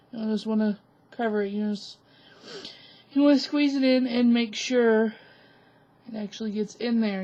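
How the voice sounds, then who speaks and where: This woman's voice is fairly high in pitch, somewhat breathy, and dark and mellow in tone. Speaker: craft tutorial youtuber. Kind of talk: tutorial. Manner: casual.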